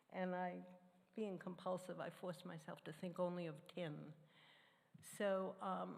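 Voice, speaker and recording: There is audible room echo as a woman at medium pitch speaks at a moderate pace with fairly even intonation. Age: 80s+. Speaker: church member sharing personal testimony. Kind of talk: sermon.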